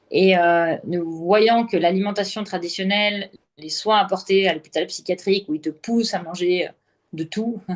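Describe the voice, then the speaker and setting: At a fairly slow pace, a woman with a normal speaking voice talks in a medium pitch with fairly even intonation. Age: 30s. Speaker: entrepreneur sharing her health story. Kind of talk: interview testimony.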